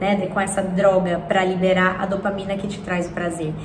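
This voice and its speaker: A woman talks at a moderate pace in a space with audible room echo and noticeable background noise. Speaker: self-development youtuber. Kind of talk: casual reflective monologue.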